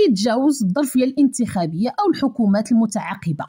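A woman with a Moroccan accent speaks at a moderate pace, her high, dark and mellow voice moving through very wide pitch swings. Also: quiet background. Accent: Moroccan Darija. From Morocco. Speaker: news commentary YouTuber. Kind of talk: news commentary. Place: home room. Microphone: studio mic.

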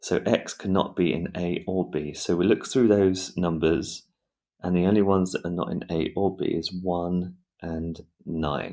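On a very clean recording with a silent background, a man speaks in a very deep, low voice with a dark, mellow tone. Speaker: maths teacher. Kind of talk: tutorial. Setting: video tutorial with screen sketching. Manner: explanatory, teacherly.

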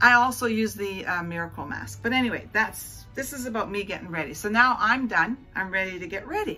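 Faint music plays behind a woman who speaks at a moderate pace. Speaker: beauty vlogger. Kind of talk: casual vlog chat. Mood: cheerful, chatty. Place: home room. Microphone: phone near.

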